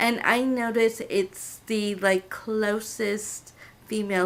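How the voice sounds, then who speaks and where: A woman is talking. Her accent is American. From California, US. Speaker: assistant language teacher, vlogger. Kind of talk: casual vlog monologue.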